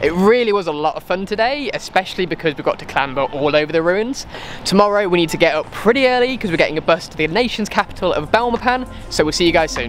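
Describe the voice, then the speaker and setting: Music plays behind a man who talks at a very fast pace in a high pitch with lively intonation. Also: big swings in loudness, dry sound with no echo. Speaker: travel vlogger. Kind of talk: casual vlog chat. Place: street. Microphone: phone near.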